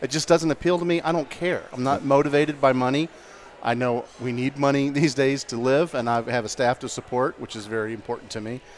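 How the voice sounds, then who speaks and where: With an American accent, a man speaks in a normal speaking voice at a fairly quick pace, medium pitch and ordinary pitch variation. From St. Augustine, Florida. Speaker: media business owner. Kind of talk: casual chat. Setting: restaurant bar recording.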